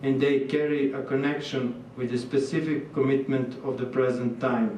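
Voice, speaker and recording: Audible room echo and noticeable background noise around a man speaking with fairly even intonation. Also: medium pitch for a man, moderate pace. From Serbia. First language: Serbian. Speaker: visiting artist. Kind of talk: lecture. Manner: halting.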